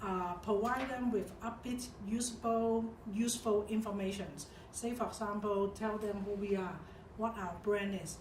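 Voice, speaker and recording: Speaking at a moderate pace in a Hong Kong accent, a woman uses a fairly high, monotone, flat voice amid noticeable background noise and audible room echo. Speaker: corporate expert. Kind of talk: corporate interview.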